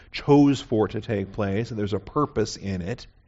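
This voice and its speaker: Using a normal speaking voice, a man talks at a medium pitch and a moderate pace. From US Pacific Northwest (Seattle). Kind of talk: sermon.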